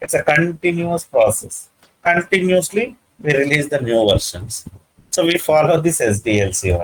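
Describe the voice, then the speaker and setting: A man with an Indian accent speaks at a moderate pace and a high pitch. His intonation is lively, and his loudness stays very even. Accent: Indian English (Telugu). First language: Telugu. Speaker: IT trainer. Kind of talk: lecture. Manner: halting, many fillers.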